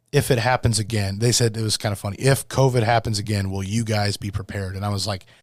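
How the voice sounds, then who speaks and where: A man speaks at a very fast pace with hardly any pauses, his fairly low pitch held in fairly even intonation, on a very clean recording with a silent background. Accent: Midwestern American. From US Midwest (northwest Iowa). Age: 30s. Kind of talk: casual chat.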